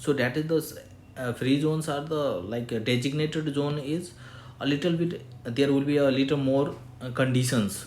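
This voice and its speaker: A man with a medium pitch talks at a moderate pace. Audible room echo surrounds his voice. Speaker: chartered accountant giving tax tutorial. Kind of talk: tutorial. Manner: halting, many fillers.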